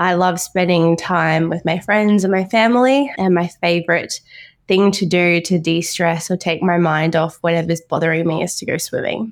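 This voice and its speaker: With an Australian accent, a woman talks at a moderate pace, her fairly low pitch showing ordinary variation, in a very clean recording with a silent background. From Brisbane, Queensland, Australia. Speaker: orthopaedic doctor. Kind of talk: interview.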